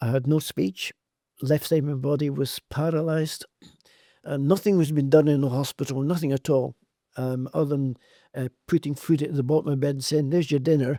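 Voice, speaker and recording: Dry and close with no echo, a man's dark, mellow voice comes at a fairly high pitch and fairly quick pace with fairly even intonation. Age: 80s+. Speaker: hyperbaric oxygen therapy expert. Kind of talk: podcast interview.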